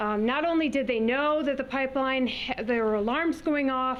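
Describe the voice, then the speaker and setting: Talking at a fairly quick pace, a woman uses a high pitch with ordinary variation. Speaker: environmental advocate. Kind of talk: presentation. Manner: loud; fast.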